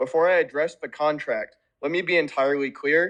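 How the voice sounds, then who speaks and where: Man with a normal speaking voice and an American accent, at a fairly quick pace, with fairly even intonation and a quiet background. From Arizona. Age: 20s. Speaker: public commenter. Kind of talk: public comment. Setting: city council hearing.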